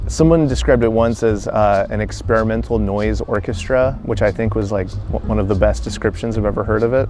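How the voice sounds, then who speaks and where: A man speaks with an American accent at a fairly quick pace. Noticeable background noise can be heard. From North Carolina, USA. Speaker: musician, cellist. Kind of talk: interview answer. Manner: casual, hesitant with fillers.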